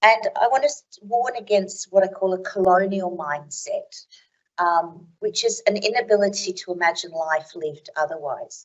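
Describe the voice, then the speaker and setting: An Australian accent at a moderate pace. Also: woman, medium pitch for a woman, ordinary pitch variation. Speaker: academic keynote speaker. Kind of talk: conference keynote talk.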